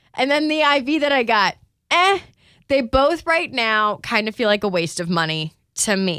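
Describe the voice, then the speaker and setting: A raised, projected voice with a bright, sharp tone moves through very wide pitch swings at a moderate pace. The delivery is animated, and the recording is very clean with a silent background. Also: woman. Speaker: wellness podcast host. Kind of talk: casual solo podcast monologue. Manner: chatty, animated.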